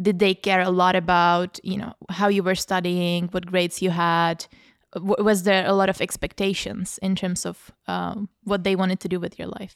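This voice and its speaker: A woman with a Czech accent, medium pitch and monotone, flat intonation at a moderate pace, on a very clean recording with a silent background and a dry, close sound with no echo. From Czech Republic, Prague. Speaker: podcast host. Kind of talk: casual discussion.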